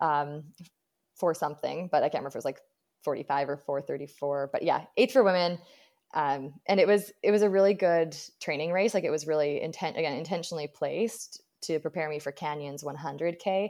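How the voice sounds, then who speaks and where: An ordinary speaking voice: a woman with a Canadian accent, fairly low pitch, ordinary pitch variation and a fairly quick pace, against a quiet background. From British Columbia, Canada. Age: 30s. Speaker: ultra runner and running coach. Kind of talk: interview.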